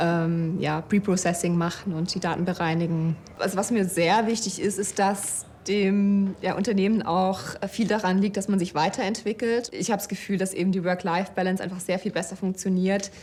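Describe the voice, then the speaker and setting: This woman has a medium pitch and fairly even intonation. She talks at a moderate pace. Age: 30s. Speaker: data scientist and project manager. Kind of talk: employee interview. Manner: hesitant, many fillers.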